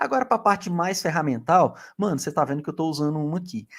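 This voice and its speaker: The intonation is lively, the recording very clean, and the background silent. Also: man. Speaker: data science youtuber. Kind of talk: educational talk to camera. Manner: casual slangy.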